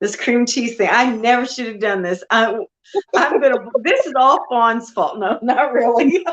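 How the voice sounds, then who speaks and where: A woman speaks loudly at a moderate pace, her high voice full of lively intonation. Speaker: homesteading livestreamer. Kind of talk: casual livestream chat. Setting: livestream.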